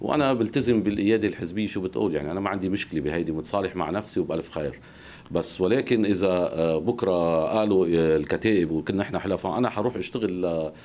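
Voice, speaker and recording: The man's voice has a very deep, low pitch. His pitch varies in an ordinary way. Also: fairly quick pace. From Lebanon. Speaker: political party activist; guest. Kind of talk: TV interview. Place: studio. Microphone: lapel.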